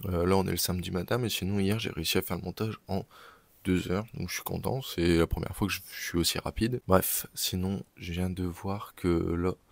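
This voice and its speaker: On a very clean recording with a silent background, a man speaks in a very deep, low pitch at a moderate pace. His intonation is fairly even, and the sound is dry and close with no echo. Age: 20s. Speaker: entrepreneur vlogger. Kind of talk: vlog. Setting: on the move, arriving at the bank. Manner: hesitant, many fillers; casual.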